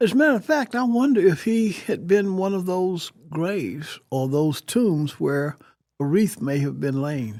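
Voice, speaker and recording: Recorded very cleanly against a silent background, a man with a high pitch speaks at a fairly slow pace with very wide pitch swings. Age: 70s. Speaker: retired TV news reporter and anchor. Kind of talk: interview answer. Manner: conversational, reflective.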